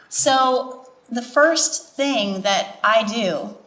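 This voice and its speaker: Lively intonation comes through in an American accent over noticeable background noise. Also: woman. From Wisconsin. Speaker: healthcare provider on a panel. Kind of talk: panel discussion.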